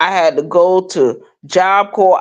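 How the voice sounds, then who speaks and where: A woman with a New York accent talks at a fairly slow pace in an animated tone. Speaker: vlogger. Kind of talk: personal monologue.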